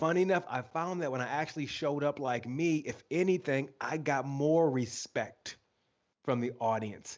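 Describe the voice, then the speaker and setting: With an American accent, a man speaks at a moderate pace and a fairly high pitch in a plain, everyday voice. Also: ordinary pitch variation. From Michigan, US. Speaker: author and leadership speaker. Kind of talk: interview. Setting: live video stream.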